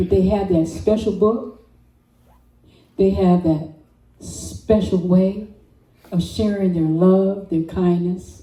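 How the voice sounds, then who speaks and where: A woman's somewhat breathy, dark and mellow voice in an American accent, very slow with long, frequent pauses, monotone and flat, with audible room echo. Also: medium pitch for a woman. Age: 70s. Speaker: storyteller. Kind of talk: personal storytelling. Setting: open mic with audience.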